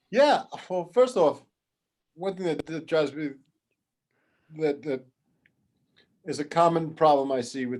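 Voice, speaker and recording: Here a man speaks in a New York accent. His pace is moderate and his intonation fairly even. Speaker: toy product development expert. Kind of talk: workshop interview. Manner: casual, halting with many restarts.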